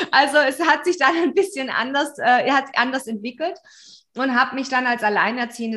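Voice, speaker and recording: A woman uses a raised, projected voice with lively intonation. Her pitch is high and her pace moderate. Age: 40s. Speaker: business mentor. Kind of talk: interview.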